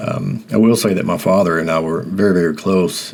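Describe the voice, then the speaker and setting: A man's very deep, low voice with an American accent at a moderate pace, over noticeable background noise. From US South, rural Mississippi. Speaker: podcast host. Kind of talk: personal reflective monologue. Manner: halting, many fillers and repetitions.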